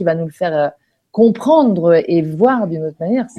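A woman's voice with a dark, mellow tone. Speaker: online radio host. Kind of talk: casual interview. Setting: live online broadcast.

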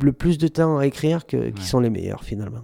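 A man talks at medium pitch with ordinary pitch variation. His tone is dark and mellow. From Saint-Étienne, France. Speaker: rapper. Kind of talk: radio interview.

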